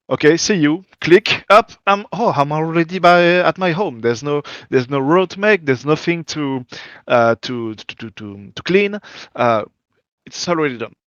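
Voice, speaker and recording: With a French accent, a man speaks at a moderate pace in a fairly high pitch, his intonation lively and his loudness swinging widely. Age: 30s. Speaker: gaming community organizer. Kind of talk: interview. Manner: halting, searching for words.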